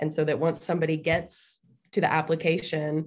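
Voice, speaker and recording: With vocal fry and a very deep, low pitch, a woman speaks at a moderate pace against a quiet background. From Chattanooga, Tennessee. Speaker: school digital marketing manager. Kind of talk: panel discussion.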